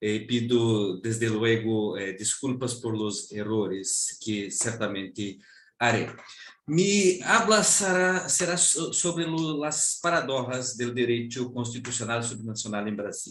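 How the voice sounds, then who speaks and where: Speaking very slowly in a Brazilian accent, a man at medium pitch uses lively intonation, with audible room echo around him. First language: Portuguese (speaking Spanish). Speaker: law professor. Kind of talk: academic lecture. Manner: halting.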